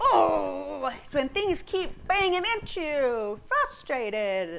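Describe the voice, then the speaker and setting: Over light background noise, a female-sounding put-on character voice growls at a very slow pace. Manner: frustrated, growling.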